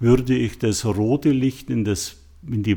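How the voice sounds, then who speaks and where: Heard in a very clean recording over a silent background, a man speaks with a dark, mellow tone and ordinary pitch variation. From Bavaria, Munich. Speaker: artist. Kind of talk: interview. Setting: gallery studio.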